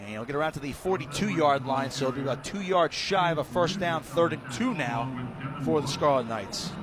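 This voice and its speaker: Noticeable background noise sits behind a man with a fairly high pitch. He talks at a moderate pace with ordinary pitch variation and hardly any pauses. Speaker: radio play-by-play announcer. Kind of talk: live sports radio play-by-play commentary.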